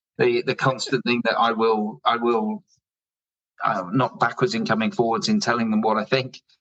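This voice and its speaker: A man with a medium pitch speaks with an English accent at a very even loudness. The sound is dry and close, with no echo. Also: ordinary pitch variation, moderate pace. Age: 60s. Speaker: drinks company founder. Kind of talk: podcast interview.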